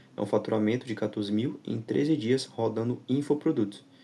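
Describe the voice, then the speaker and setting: With a dark, mellow tone, a man at medium pitch uses lively intonation and vocal fry. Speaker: digital marketing instructor. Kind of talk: tutorial.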